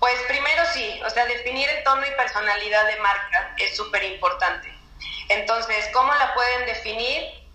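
A woman speaks at a high pitch with ordinary pitch variation. There is audible room echo and noticeable background noise. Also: moderate pace. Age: 20s. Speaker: marketing expert. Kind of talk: interview.

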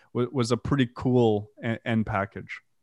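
Heard with a dry, close sound and no echo, a man in a French Canadian accent talks at a medium pitch with fairly even intonation. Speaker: death metal musician. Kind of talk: interview. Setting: video call.

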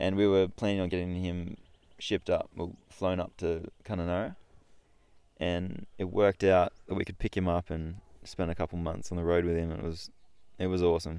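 In an Australian accent, a man speaks at a moderate pace. His very deep, low voice stays monotone and flat. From Newcastle, New South Wales, Australia. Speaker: wakeboarder. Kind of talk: casual chat. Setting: outdoors.

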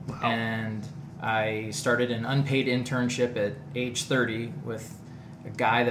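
A man speaks at a medium pitch in a flat, monotone delivery. Music plays behind him, and the room echo is audible. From northeast Ohio, US. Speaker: video producer. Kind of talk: casual chat.

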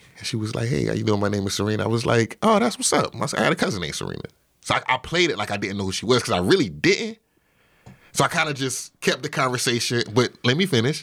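In a very clean recording with a silent background, a man with an American accent talks at a very fast pace, his animated voice showing vocal fry and very wide pitch swings. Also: medium pitch for a man. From South Carolina, Orangeburg. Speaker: cinematographer and content creator. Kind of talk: casual interview with comic storytelling.

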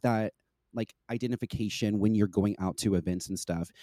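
A man speaks with a dark, mellow tone. The recording is very clean, with a silent background. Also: dry, close sound with no echo. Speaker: podcast guest. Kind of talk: casual chat.

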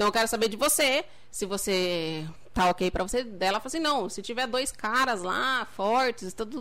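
With a bright, sharp tone and lively intonation, a woman speaks at a moderate pace and a fairly high pitch. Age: 30s. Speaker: entrepreneur. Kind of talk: casual chat. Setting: livestream.

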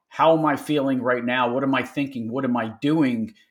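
On a very clean recording with a silent background, a man with a Philadelphia accent talks at a moderate pace in a fairly high pitch with ordinary pitch variation. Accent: Philadelphia American. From Philadelphia, US. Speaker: business owner. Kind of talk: interview conversation. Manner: halting, repeats words.

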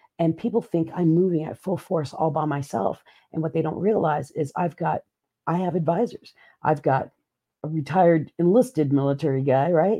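Her pitch very deep and low, a woman speaks with ordinary pitch variation. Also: moderate pace. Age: 50s. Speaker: keynote speaker and podcast co-host. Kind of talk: casual chat. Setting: live stream. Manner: laughs often.

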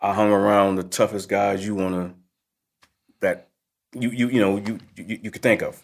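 Fairly low in pitch and flat in a monotone, a man talks at a moderate pace with long, frequent pauses. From New Jersey, Newark. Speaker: police detective. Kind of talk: casual chat. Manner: halting.

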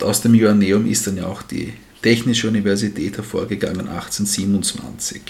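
In an ordinary speaking voice, a man with fairly low pitch talks at a fairly slow pace with fairly even intonation. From Styria, Austria. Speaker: history podcast co-host. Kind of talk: casual history storytelling.

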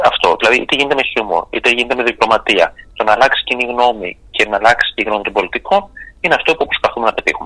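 A man talks very fast at a medium pitch, with ordinary pitch variation and a dry, close sound free of echo. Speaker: actor. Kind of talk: radio interview. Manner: halting.

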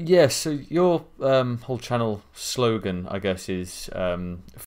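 A man with a normal speaking voice and lively intonation. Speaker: podcast co-host and small YouTuber. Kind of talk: casual podcast interview.

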